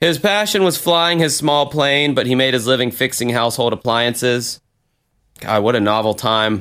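A man talks at a medium pitch and moderate pace with very even loudness. He has a normal speaking voice with lively intonation. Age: 30s. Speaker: podcast host. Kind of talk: casual banter. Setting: remote recording. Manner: profane, casual.

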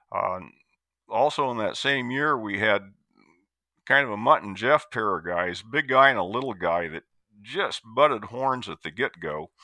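An unremarkable speaking voice with an American accent goes at a moderate pace. Its loudness swings widely. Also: man, medium pitch for a man, lively intonation. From US Midwest, Iowa. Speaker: retired extension forester. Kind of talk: interview.

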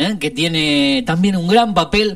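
A man speaks with lively intonation. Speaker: film and series columnist. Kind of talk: radio column with recommendations.

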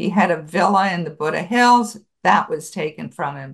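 Against a quiet background, a woman talks in a normal speaking voice with an American accent. Her pitch is fairly low, her pace fairly slow, and her intonation lively. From Buffalo, New York, US. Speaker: author and genealogist. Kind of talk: interview.

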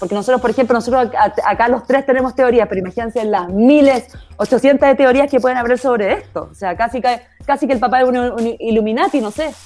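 A woman with a high-pitched voice and a Chilean accent, speaking very fast with ordinary pitch variation. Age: 30s. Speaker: actress and producer. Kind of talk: casual chat. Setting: remote recording.

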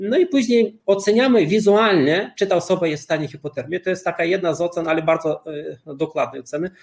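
A man's high voice, very rapid delivery, pitch moving in an ordinary way. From Lithuania. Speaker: cold-exposure athlete and author. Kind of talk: interview.

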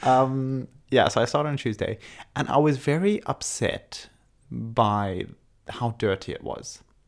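The man's medium-pitched voice has lively intonation and moves at a fairly slow pace. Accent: British. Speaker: podcast host. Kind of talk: casual chat.

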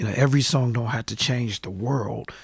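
At a fairly quick pace, a man speaks in a somewhat breathy voice of medium pitch with ordinary pitch variation. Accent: American. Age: 40s. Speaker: hip-hop artist. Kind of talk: casual interview. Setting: studio.

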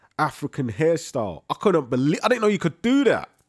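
Recorded very cleanly against a silent background, a man speaks with a London accent in a dry, close sound with no echo. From East London, Leytonstone. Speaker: podcast co-host. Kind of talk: casual chat.

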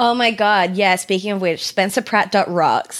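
A woman speaks at a moderate pace. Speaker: podcast co-host. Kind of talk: casual chat. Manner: animated, casual.

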